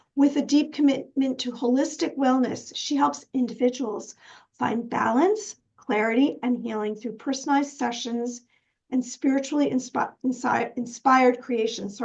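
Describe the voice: A put-on character voice from a woman, hoarse and raspy, high-pitched, at a moderate pace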